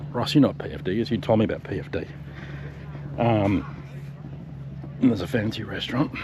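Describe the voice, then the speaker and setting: A man's fairly low, very fast speech in an Australian accent, with very wide pitch swings, long, frequent pauses and noticeable background noise. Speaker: travel vlogger. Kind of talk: casual vlog narration. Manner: whispering.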